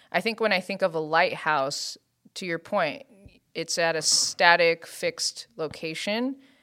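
In a bright, sharp tone, a woman speaks at a fairly slow pace and fairly low pitch with ordinary pitch variation on a very clean recording with a silent background. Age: 30s. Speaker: church discipleship team member. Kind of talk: casual chat.

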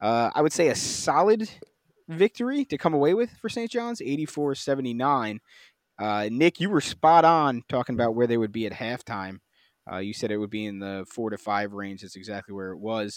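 A man's unremarkable speaking voice at medium pitch and moderate pace, with lively intonation and big swings in loudness, dry and close with no echo on a very clean recording with a silent background. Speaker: podcast host. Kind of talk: casual sports podcast discussion.

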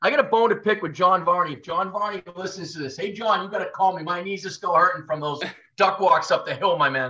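Raising and projecting his voice, a man speaks at a fairly quick pace with a high pitch and a bright, sharp tone. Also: ordinary pitch variation. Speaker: college football coach. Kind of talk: casual interview. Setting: call. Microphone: connection issues, heavily edited.

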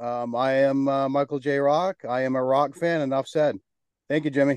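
A man with a plain, everyday voice speaks at a moderate pace, pitched fairly high. The sound is dry and close with no echo, over a quiet background. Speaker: podcast host. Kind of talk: casual interview chat.

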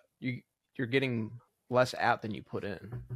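A man with a normal speaking voice talks at a fairly quick pace in medium pitch, with fairly even intonation. The sound is dry and close with no echo. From upstate New York and New Jersey. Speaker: podcast co-host, engineer. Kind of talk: casual chat.

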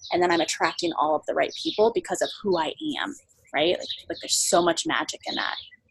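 Pitched at a medium level with ordinary pitch variation, a woman speaks in an unremarkable speaking voice. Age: 20s. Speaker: entrepreneur and camp founder. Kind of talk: casual interview. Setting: remote interview from a farm.

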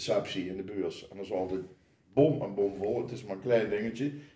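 Fairly quick speech from a man with a dark, mellow tone, plus audible room echo. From Netherlands, Oosterhout (Gelderland). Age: 60s. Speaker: carnival committee member. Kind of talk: casual chat. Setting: kitchen table at home.

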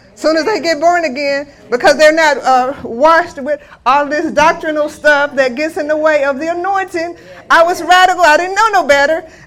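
Loudness swings widely in this clip, and noticeable background noise comes through. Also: woman, high pitch for a woman, ordinary pitch variation, moderate pace. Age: 60s. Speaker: guest minister. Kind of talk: sermon.

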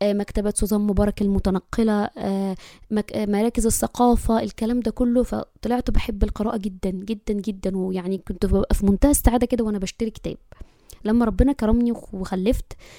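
Recorded with a dry, close sound and no echo, a woman speaks at a moderate pace in a dark, mellow tone at medium pitch with fairly even intonation. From Egypt. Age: 30s. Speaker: podcast host, mother. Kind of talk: casual monologue.

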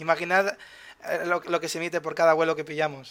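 This man's voice is fairly high in pitch, and he speaks at a fairly quick pace. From Valencia, Spain. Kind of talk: casual explanatory chat. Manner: halting, many repetitions.

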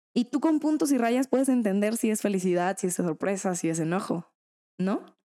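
Fairly high in pitch yet dark and mellow in tone, a woman talks at a moderate pace with lively intonation in a dry, close sound with no echo. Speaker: podcast co-host. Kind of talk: casual chat.

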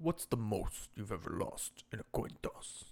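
The man talks in a put-on character voice of medium pitch at a moderate pace.

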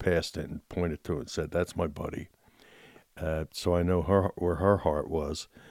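With a Philadelphia accent, a man speaks in a very deep, low voice and monotone, flat intonation, the sound dry and close with no echo in a very clean recording against a silent background. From Philadelphia, US Northeast. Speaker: churchgoer sharing faith story. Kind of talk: testimony.

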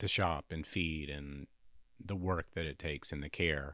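A man speaks with a Southern US accent in a very deep, low voice and fairly even intonation. The recording is very clean, with a silent background. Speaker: massage therapist and former chef. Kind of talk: casual interview chat. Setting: home studio with DJ gear. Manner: slow, measured.

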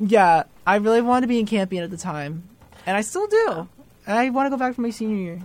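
A woman talks at a very fast pace in a fairly high, animated voice with lively intonation. Noticeable background noise sits behind her. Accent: American. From New Jersey. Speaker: college student, resident assistant. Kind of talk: casual chat. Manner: animated, jokey.

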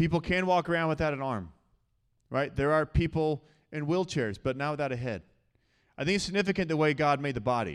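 Against a very clean, silent background, a man with a fairly high voice and ordinary pitch variation speaks with long, frequent pauses. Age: 30s. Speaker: pastor. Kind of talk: sermon. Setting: church.

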